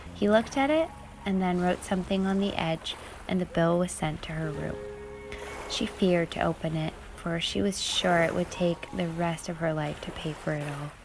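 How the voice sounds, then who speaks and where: Music plays in the background as a woman speaks in a calm, soothing tone. Her pitch is fairly low, with ordinary pitch variation. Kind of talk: calming storytelling aloud, ASMR-style.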